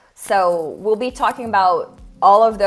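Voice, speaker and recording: Music playing behind a woman at a moderate pace, her voice medium-pitched. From Brazil. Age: 20s. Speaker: design consultant. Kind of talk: online workshop talk.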